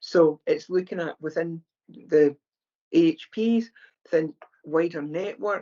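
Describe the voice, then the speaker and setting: A woman with a Scottish accent speaks at a fairly slow pace in a fairly low pitch, with ordinary pitch variation and long, frequent pauses. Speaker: charity founder, former mental health nurse. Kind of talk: podcast interview. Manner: conversational, with hesitations.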